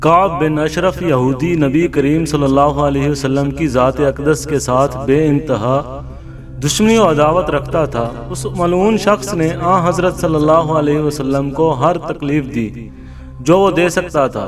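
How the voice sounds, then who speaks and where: Music plays in the background. A man speaks at a fairly high pitch with ordinary pitch variation. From Pakistan. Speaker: voice-over artist. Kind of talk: Islamic history story narration.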